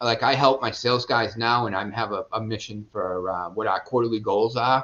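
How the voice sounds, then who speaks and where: Here is a man with a Boston accent and a medium pitch. He talks at a moderate pace with ordinary pitch variation. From Boston, Massachusetts. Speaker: real estate investor and business owner. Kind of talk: podcast interview answer. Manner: casual, profane.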